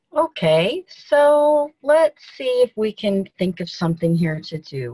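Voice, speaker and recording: A woman with a somewhat breathy, fairly high voice talks at a very slow pace, her pitch swinging very widely. The sound is dry and close, with no echo. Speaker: peer coach in practice session. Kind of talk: coaching exercise.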